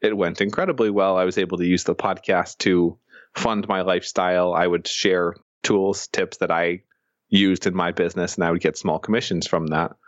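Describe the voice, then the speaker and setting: A man with a very deep, low pitch, monotone, flat intonation, very even loudness and a fairly quick pace. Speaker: entrepreneur and investor. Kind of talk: interview. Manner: fast.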